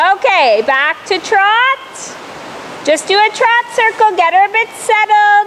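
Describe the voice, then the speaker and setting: A woman shouts at an extremely high pitch, very slowly and at a very even loudness, with ordinary pitch variation over noticeable background noise. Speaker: riding instructor. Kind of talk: riding lesson coaching. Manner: loud, yelling.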